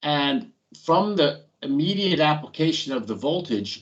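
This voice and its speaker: A man talks at a fairly slow pace, the background around him quiet. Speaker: industrial training instructor. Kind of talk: technical lecture. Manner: slow, deliberate.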